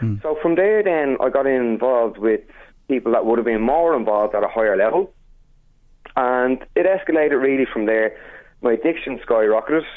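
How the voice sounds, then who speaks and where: With an Irish accent, a man talks at a fairly quick pace and medium pitch, using lively intonation and very even loudness. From Ireland. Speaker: chef. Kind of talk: interview. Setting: phone call.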